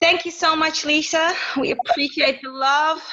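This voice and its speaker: A woman's raised, projected voice. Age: 40s. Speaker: podcast host. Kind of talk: interview conversation.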